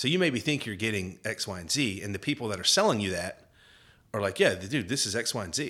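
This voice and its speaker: A man with a Southern US accent talks at a fairly quick pace in a fairly low pitch, his tone bright and sharp and his intonation lively, in a very clean recording with a silent background. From Georgia. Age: 40s. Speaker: hunting media executive. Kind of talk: casual chat.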